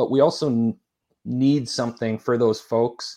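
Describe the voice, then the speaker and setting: With a Canadian accent, a man talks at a fairly slow pace and medium pitch, with fairly even intonation over a quiet background. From Saskatchewan, Canada. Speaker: fitness company founder, personal trainer. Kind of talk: casual interview. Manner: halting, repeats words.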